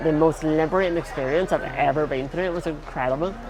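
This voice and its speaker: Music plays in the background as a man with a Northern Irish accent talks at a fairly quick pace, with audible room echo. His pitch is fairly high and his intonation fairly even. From Northern Ireland. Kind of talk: interview.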